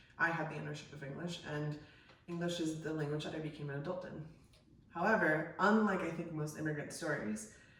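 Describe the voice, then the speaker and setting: Delivered at a fairly quick pace, the speech comes through noticeable background noise. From Colombia, Bogota. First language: Spanish and French. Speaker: podcast co-host, screenwriter. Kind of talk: casual chat.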